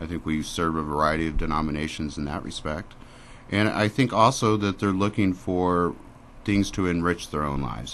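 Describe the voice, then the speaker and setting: A man with a Midwestern US accent at a very deep, low pitch, fairly quick in pace, with ordinary pitch variation. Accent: US Midwest. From Springfield, Missouri. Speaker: library director. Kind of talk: radio interview. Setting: radio studio. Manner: loud.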